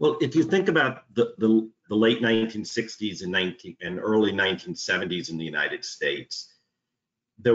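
Speaking in a New York accent, a man with a fairly low pitch and ordinary pitch variation is heard over a quiet background. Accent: New York American. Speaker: union organiser. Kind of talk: interview conversation. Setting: video call. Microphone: video call.

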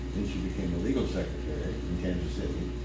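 A man talking at a fairly quick pace amid loud background noise, with audible room echo. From Missouri, USA. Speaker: country music singer. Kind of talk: interview answer.

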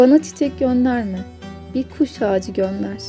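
With music playing behind her, a woman speaks at a fairly high pitch and a fairly slow pace. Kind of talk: poetry reading.

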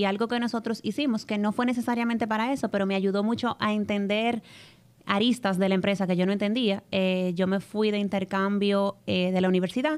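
A woman in a Dominican accent talks at a fairly quick pace, her medium-pitched voice held at very even loudness with fairly even intonation. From Dominican Republic. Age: 20s. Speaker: travel content creator and commercial coordinator in family business; travel content creator. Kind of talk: casual interview chat. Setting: studio with live audience. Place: studio. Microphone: studio mic.

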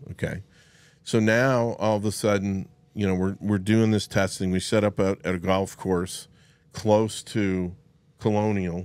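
A man's fairly low, monotone voice at a fairly slow pace, flat in intonation, with a dry sound and no echo. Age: 60s. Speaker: golf club fitter; guest. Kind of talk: casual chat; podcast interview storytelling. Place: studio. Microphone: studio mic.

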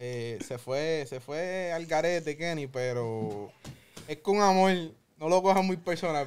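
A man speaks in an unremarkable speaking voice at a fairly high pitch. His pitch variation is ordinary. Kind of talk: casual chat.

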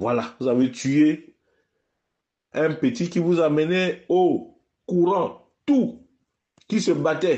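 A man's high-pitched, lively voice at a very slow pace, very even in loudness, with long, frequent pauses. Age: 50s. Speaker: political commentator. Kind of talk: political address to followers. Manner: impassioned.

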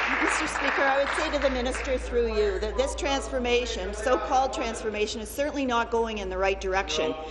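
Over loud background noise, a woman talks at a fairly quick pace. She leaves hardly any pauses. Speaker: opposition legislator. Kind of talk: parliamentary debate. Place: hall. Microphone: podium.

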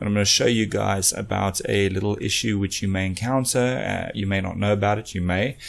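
A man speaks in an ordinary speaking voice. His pitch sits fairly low and his pace is moderate. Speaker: electronics repair channel host. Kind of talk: tutorial intro, casual vlog chat. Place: workshop. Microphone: studio mic.

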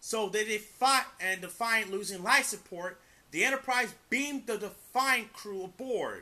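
A man speaks in a raised, projected voice with a bright, sharp tone. His pitch varies in an ordinary way, and his pace is fairly slow. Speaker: amateur video reviewer. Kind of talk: casual review, plot retelling. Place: home room.

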